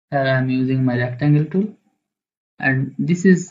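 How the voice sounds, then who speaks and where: A man's fairly high-pitched, somewhat breathy voice. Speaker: graphic design tutorial creator. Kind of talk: software tutorial. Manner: halting.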